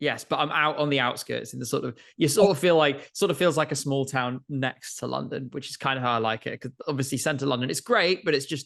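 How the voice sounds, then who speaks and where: With vocal fry and a fairly high pitch, a man talks at a fairly quick pace using ordinary pitch variation. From northern England, Newcastle. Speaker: Eurovision content creator. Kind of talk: casual interview chat.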